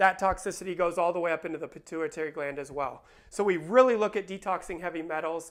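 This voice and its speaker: A man with a high pitch talks at a very fast pace. His pitch varies in an ordinary way, and the background is quiet. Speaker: chiropractor. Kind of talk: informational talk to camera. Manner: casual with fillers.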